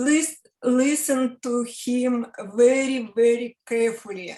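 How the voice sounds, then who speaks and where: A woman speaks with a Russian accent at a high pitch. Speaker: interviewer. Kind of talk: interview. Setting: video call. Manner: halting.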